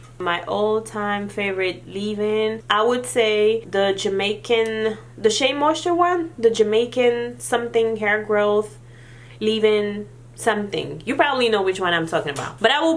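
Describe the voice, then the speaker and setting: A woman's fairly high voice at a moderate pace, with lively intonation, audible room echo and noticeable background noise. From Senegal. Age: 30s. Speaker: beauty vlogger. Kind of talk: Q&A vlog. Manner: casual.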